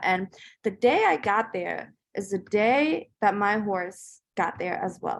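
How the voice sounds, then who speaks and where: A woman of medium pitch is heard on a very clean recording with a silent background. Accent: German. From Germany, then Northern Virginia from age 12. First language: German. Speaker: entrepreneur. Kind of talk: interview storytelling. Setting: podcast interview. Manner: casual with many fillers.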